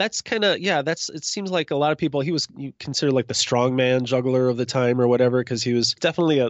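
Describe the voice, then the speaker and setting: A man talks at a very fast pace and a medium pitch, with ordinary pitch variation. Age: 40s. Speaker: juggler and author. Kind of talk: casual interview.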